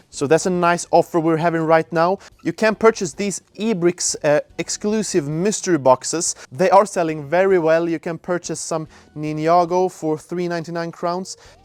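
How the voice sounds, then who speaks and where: A man with a Swedish accent, high in pitch, at a moderate pace with fairly even intonation, in dry, close sound with no echo. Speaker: store employee. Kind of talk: store tour vlog. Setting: outdoors then inside store. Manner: casual, somewhat halting with fillers.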